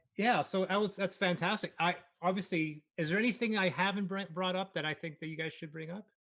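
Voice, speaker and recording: Fairly quick and high-pitched, a man speaks in a bright, sharp tone with fairly even intonation. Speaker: livestream interviewer. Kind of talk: interview. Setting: livestream.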